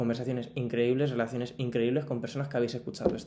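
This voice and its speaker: This man talks at a very fast pace with a dark, mellow tone. His pitch sits in the medium range and varies in an ordinary way. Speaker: podcaster. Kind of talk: personal monologue. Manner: animated. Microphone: poor audio.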